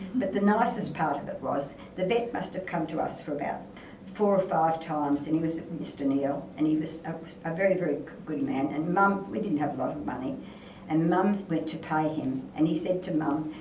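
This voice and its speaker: Amid noticeable background noise and audible room echo, a woman with a fairly low pitch speaks at a moderate pace with lively intonation. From Western Australia, Narrogin. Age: old. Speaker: elder telling local stories. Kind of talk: oral history storytelling.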